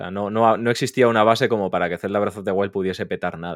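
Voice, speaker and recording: Very clean and silent in the background, the recording is dry and close with no echo. A man talks at a fairly quick pace in a normal speaking voice with fairly even intonation. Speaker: podcast guest, gaming content creator. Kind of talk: casual chat.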